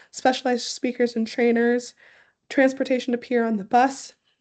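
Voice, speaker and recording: A woman's high-pitched voice with a dark, mellow tone, flat monotone intonation and a moderate pace. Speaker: program director hosting a webinar. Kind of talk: informational webinar presentation. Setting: online webinar. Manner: casual, many filler ums.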